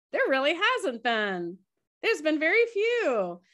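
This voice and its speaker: Against a quiet background, a woman with an American accent speaks at a moderate pace in a high voice with very wide pitch swings. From Florida, US. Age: 50s. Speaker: author and tour guide. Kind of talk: interview testimony. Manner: halting, with many repetitions.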